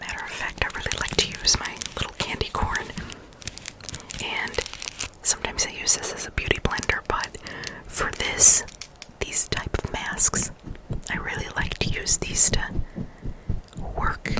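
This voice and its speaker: A woman whispers at a moderate pace with long, frequent pauses over noticeable background noise. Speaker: ASMR creator. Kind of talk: ASMR spa roleplay, personal attention. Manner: soft-spoken, whispering.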